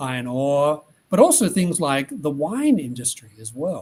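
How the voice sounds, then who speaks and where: A man's fairly high voice in an Australian accent at a very slow pace. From Australia (Tasmania). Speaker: economist. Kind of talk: interview answers.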